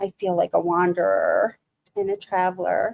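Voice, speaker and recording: The speaker has a Michigan accent and talks fairly slowly. The sound is dry and close, with no echo. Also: woman. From Michigan, US. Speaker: live streamer. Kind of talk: casual live stream chat. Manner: halting.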